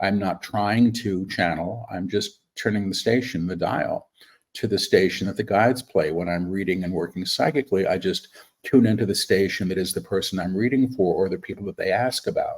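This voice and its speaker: This man has a normal speaking voice with a fairly low pitch and ordinary pitch variation. He talks at a fairly quick pace in a very clean recording with a silent background. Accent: American. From New York City. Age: 60s. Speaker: spiritual medium. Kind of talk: interview.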